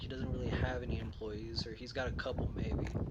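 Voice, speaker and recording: With a fairly quick pace, the speaker's words carry audible room echo over noticeable background noise. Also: man. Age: 20s. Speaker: vlogger. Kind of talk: casual monologue. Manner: stuttering; halting.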